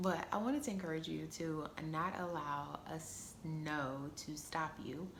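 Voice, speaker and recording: The voice is quiet, with audible room echo around it. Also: woman. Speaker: vlogger. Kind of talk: casual vlog monologue. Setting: indoors, quiet room. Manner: quiet, talking low.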